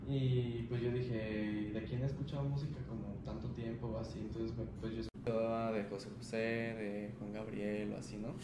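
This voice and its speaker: A man talks at a medium pitch and moderate pace with fairly even intonation and hardly any pauses, with audible room echo and noticeable background noise. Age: young. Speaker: singer-songwriter. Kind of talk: casual chat.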